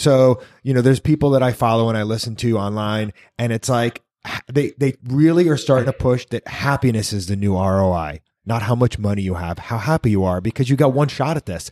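A man speaks in an ordinary speaking voice at medium pitch, with ordinary pitch variation and a fairly quick pace. The recording is very clean, with a silent background. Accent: American. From New York. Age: 40s. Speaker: podcast host. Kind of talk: casual chat. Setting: in a shop.

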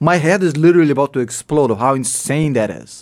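A man's fairly high voice with a Russian accent, very fast, with ordinary pitch variation, on a very clean recording with a silent background. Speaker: financial YouTuber. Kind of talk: interview.

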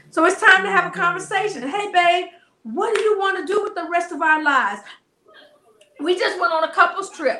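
A woman speaks in a raised, projected voice with an American accent. Her intonation is lively. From US South. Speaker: marriage coach. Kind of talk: casual interview. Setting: studio.

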